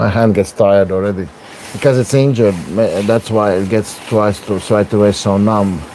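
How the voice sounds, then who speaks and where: Speaking with a Latvian accent at a moderate pace, a man keeps his intonation fairly even over noticeable background noise. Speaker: arm wrestler streaming his training. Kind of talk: livestream training commentary. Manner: casual, hesitant with fillers.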